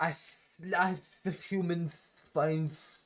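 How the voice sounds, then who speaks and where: A hissing, put-on character voice sits at a middle pitch. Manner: clumsy, stumbling.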